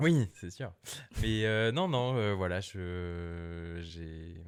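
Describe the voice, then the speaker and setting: The background is silent, and the recording is very clean. A man talks in a very deep, low voice whose pitch varies in an ordinary way. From Brittany, France (Lorient). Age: 30s. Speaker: cook and café owner. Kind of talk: casual podcast chat. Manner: hesitant, many fillers.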